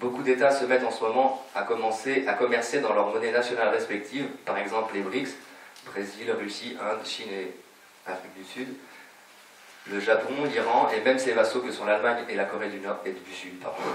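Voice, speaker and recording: Amid noticeable background noise and audible room echo, a man talks at a medium pitch with fairly even intonation and big swings in loudness. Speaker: lecturer at a public conference. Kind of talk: lecture read from prepared text. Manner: fast; reading from paper.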